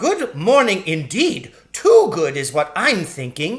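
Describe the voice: A man puts on a character voice, high in pitch with very wide swings. He speaks at a slow pace.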